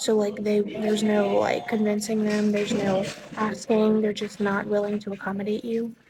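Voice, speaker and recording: Over noticeable background noise, a woman with a fairly high pitch speaks at a moderate pace in monotone, flat intonation. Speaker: fashion student vlogger. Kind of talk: casual vlog talk to camera. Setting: indoors in a school business building. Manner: filler-heavy casual speech.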